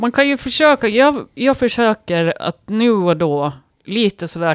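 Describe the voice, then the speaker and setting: A woman is heard on a very clean recording with a silent background, the sound dry and close with no echo. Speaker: writer and yoga teacher. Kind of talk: casual chat. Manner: halting.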